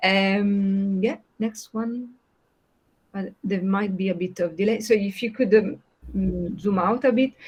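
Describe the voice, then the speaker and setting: With an Italian accent, a woman speaks at a fairly slow pace, her medium pitch held in fairly even intonation. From southern Italy, Puglia (Otranto). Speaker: education researcher, pedagogist. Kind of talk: online project meeting presentation. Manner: hesitant, many fillers.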